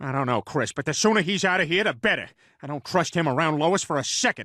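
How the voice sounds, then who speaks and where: Putting on a cartoonish character voice, a man talks at a very fast pace with a fairly high pitch. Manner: goofy, blustering.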